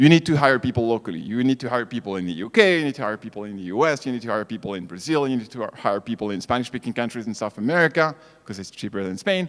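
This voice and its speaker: Talking very fast with hardly any pauses, a man with a French accent uses a medium pitch, lively intonation and big swings in loudness. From France. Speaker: startup founder. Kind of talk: conference talk.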